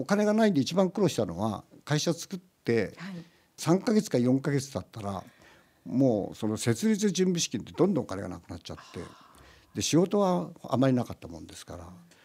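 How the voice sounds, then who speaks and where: A man's dark, mellow voice at a medium pitch and fairly quick pace, with very wide pitch swings and big swings in loudness. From Gunma, Japan. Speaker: company founder and chairman. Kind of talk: radio interview. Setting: radio studio.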